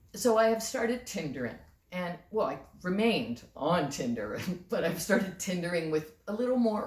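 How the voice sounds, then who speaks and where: Over noticeable background noise, a woman at medium pitch speaks fairly slowly with very wide pitch swings. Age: 60s. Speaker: storyteller and comic. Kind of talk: comic storytelling to camera. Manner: casual, conversational.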